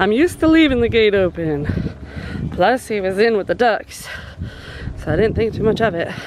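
The tone is slightly mellow and the intonation lively. The pace is moderate, with faint background noise. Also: woman, medium pitch for a woman.

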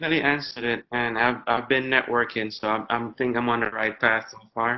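Monotone, flat delivery at a very fast pace with hardly any pauses over noticeable background noise. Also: man, medium pitch for a man. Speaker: student. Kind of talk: classroom Q&A. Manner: polite.

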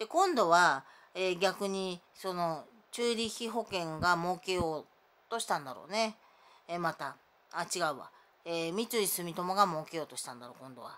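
A woman's fairly low pitch at a moderate pace, with big swings in loudness. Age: 50s. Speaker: vlogger; self-filming vlogger with grievances. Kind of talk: personal monologue vlog. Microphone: phone near.

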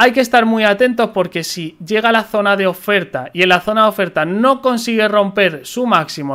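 With a bright, sharp tone and lively intonation, a man speaks at a high pitch against a quiet background. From Spain. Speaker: crypto trading youtuber. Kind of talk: market analysis tutorial. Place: home room. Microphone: studio mic.

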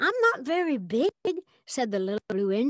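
The clip is plain reading aloud over a quiet background.

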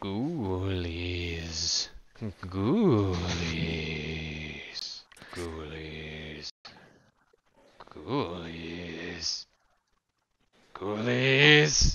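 Speaking in a put-on character voice, the raspy, drawling delivery moves at a very slow pace with long, frequent pauses. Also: man. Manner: drawling, half-conscious.

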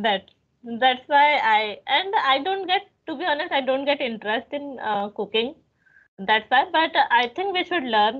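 With an Indian accent, the speaker uses lively intonation at a moderate pace over a quiet background. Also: woman. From India, Bhopal. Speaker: English teaching YouTuber. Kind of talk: casual chat. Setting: phone call. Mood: friendly, relaxed, smiling. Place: home room. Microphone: video call.

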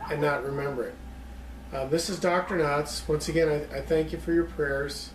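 Light background noise and audible room echo accompany a man speaking at a moderate pace with fairly even intonation. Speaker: lecturer on psychology. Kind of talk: lecture. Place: home room. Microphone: camera far.

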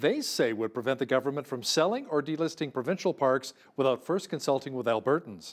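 A man with a Canadian accent and a fairly high pitch speaks at a fairly quick pace with lively intonation against a quiet background. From Canada. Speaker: news anchor. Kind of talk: news reading. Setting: studio. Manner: formal. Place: studio.

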